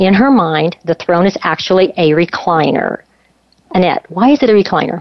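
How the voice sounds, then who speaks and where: A woman speaks with lively intonation at a moderate pace, her pitch medium for a woman. It's a normal speaking voice, with very even loudness. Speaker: radio co-host. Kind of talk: interview conversation.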